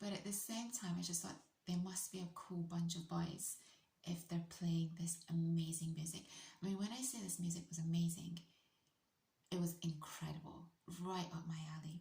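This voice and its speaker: With a British accent, a somewhat breathy voice moves at a moderate pace with long, frequent pauses, and room echo is audible. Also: woman. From UK. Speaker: vlogger. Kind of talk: storytelling monologue. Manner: animated.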